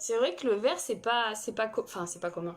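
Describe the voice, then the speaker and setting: Music plays behind a woman speaking at a moderate pace. Her pitch is fairly high. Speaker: makeup artist and live streamer. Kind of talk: makeup tutorial live stream. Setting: live stream with viewers chatting. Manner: halting.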